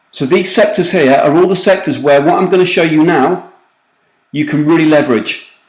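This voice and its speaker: Someone with a British accent talks at a fairly quick pace. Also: man. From UK. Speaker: recruitment marketing consultant. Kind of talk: webinar presentation. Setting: online webinar call. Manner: fast; animated.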